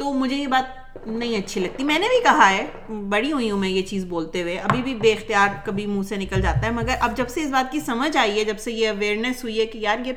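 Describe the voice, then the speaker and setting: With a slight Punjabi accent, a woman speaks at a fairly high pitch with ordinary pitch variation, amid noticeable background noise and audible room echo. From Pakistan, Karachi. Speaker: podcast host. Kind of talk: casual chat.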